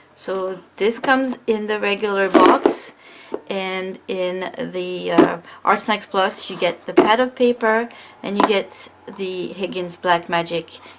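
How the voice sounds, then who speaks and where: A woman speaks at a very slow pace with ordinary pitch variation. Noticeable background noise runs behind her. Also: medium pitch for a woman. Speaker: artist. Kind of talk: art supply review talk. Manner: casual, hesitant.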